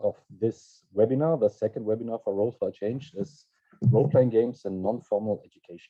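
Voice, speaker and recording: Speaking at a medium pitch, a man is heard. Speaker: webinar moderator. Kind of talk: online webinar presentation. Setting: video call webinar. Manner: hesitant, with fillers.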